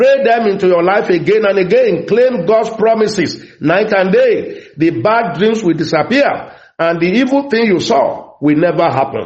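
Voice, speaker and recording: This man's voice is high-pitched, and his loudness stays very even throughout. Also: lively intonation, moderate pace, hardly any pauses. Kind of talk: fervent prayer and prophetic declaration. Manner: loud, commanding, rhythmic, urgent and emphatic.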